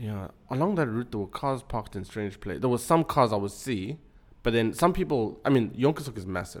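Talking at a fairly quick pace, a man speaks at medium pitch. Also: lively intonation. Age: 20s. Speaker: accident survivor. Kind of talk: personal story in casual chat. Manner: halting, repeats words.

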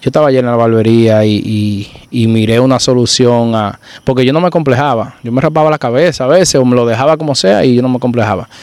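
Ordinary pitch variation marks a man's very fast delivery. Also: medium pitch for a man. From Dominican Republic, rural Santiago province. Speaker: barber turned entrepreneur. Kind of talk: casual chat.

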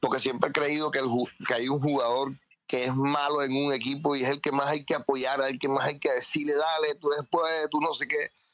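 Loudness stays very even as a man speaks at a moderate pace. His pitch is fairly high. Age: 50s. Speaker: football fan. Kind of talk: heated fan commentary. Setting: online audio space. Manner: animated.

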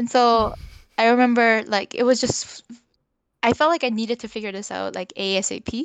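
A woman with a normal speaking voice and a Canadian accent talks at a moderate pace and fairly high pitch, with fairly even intonation and big swings in loudness, in a dry, close sound with no echo over a quiet background. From Korea until twelve, then North Vancouver, Canada. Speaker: podcast guest. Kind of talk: casual interview.

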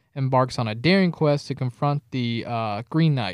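A man's medium-pitched, unremarkable speaking voice with ordinary pitch variation, in a very clean recording with a silent background and a dry, close sound with no echo. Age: 20s. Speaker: film podcast co-host. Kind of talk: casual chat.

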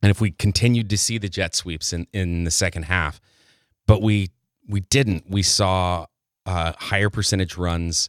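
A man's fairly low-pitched, normal speaking voice with an American accent, at a moderate pace, with a dry, close sound without echo and a very clean, silent background. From West Texas (Abilene). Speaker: college sports commentator. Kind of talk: casual chat.

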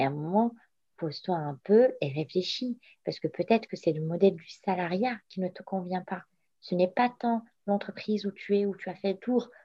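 A woman's somewhat breathy, medium-pitched voice, with ordinary pitch variation and big swings in loudness. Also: moderate pace. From Morocco. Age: 30s. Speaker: entrepreneur. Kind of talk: interview. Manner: halting.

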